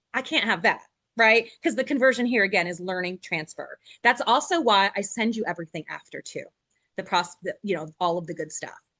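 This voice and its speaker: Bright, sharp tone at a fairly quick pace, dry and close with no echo, over a quiet background. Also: woman, medium pitch for a woman, lively intonation. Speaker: corporate trainer. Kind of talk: webinar training presentation. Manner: animated.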